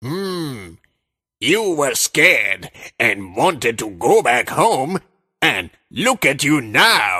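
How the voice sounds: A cartoonish character voice delivered at a very slow pace, its pitch swinging very widely. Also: man, medium pitch for a man.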